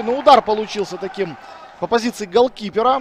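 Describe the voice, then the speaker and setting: A high male voice at a moderate speed over noticeable background noise. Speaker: football commentator. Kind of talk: live sports commentary. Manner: excitable on goals and dangerous moments.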